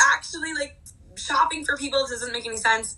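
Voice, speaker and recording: With an American accent, a woman uses a raised, projected voice with a bright, sharp tone. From New Jersey. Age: 20s. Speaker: wardrobe stylist. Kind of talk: casual chat.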